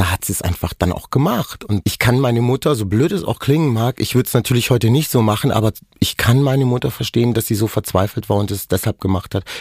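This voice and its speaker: Very fast speech with hardly any pauses, in an animated tone. The voice is somewhat breathy with ordinary pitch variation, and the sound is dry and close with no echo. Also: man, medium pitch for a man. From Germany. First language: Romani (speaking German). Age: 40s. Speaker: dental hygienist, author and activist. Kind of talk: personal testimony interview.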